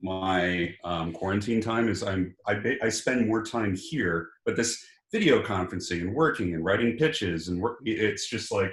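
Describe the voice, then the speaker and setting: With an American accent, a man speaks at a moderate pace in a plain, everyday voice. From US Pacific Northwest, Seattle. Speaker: experience design expert panelist. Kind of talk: casual panel chat. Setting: video call.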